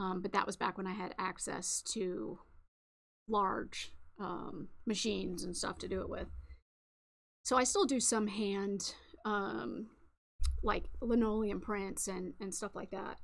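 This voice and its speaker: Using vocal fry and a relaxed tone, a woman speaks at a medium pitch and a fairly slow pace, with ordinary pitch variation and long, frequent pauses. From New England. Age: 30s. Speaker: crafting livestreamer. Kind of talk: casual livestream chat. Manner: relaxed, filler-heavy.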